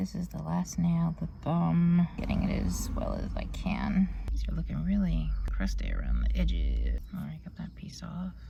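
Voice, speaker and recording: Noticeable background noise sits behind a woman speaking at a moderate pace with hardly any pauses. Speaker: beauty vlogger. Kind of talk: casual vlog tutorial. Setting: in a car.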